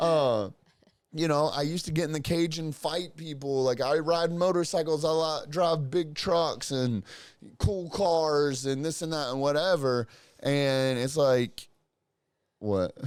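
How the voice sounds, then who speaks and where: A man speaks in a fairly high voice at a fairly slow pace. His tone is animated, with ordinary pitch variation. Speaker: podcast co-host. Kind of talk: casual chat. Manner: loud.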